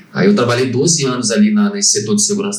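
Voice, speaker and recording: Amid noticeable background noise and audible room echo, a man of medium pitch speaks with very wide pitch swings. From Brazil, Barra Mansa (Rio de Janeiro state). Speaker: HR franchisee, former safety trainer. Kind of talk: casual podcast interview. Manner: halting.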